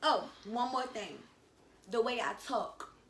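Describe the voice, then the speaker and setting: A woman speaks in an animated tone at a high pitch. Noticeable background noise and audible room echo surround her voice. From Washington, D.C., with time in North Carolina. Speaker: YouTuber. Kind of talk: casual chat.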